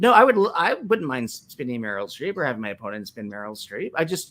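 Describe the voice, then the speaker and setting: A man talks at a very fast pace. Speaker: trivia game show competitor. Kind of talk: casual chat. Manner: stutters.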